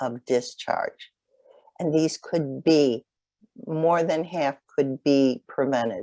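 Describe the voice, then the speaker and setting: A woman with an American accent speaks at a very deep, low pitch with lively intonation. Her pace is fairly slow, and the sound is dry and close with no echo. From Chicago. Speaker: nurse case manager, webinar presenter. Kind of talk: webinar lecture. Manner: hesitant, many fillers.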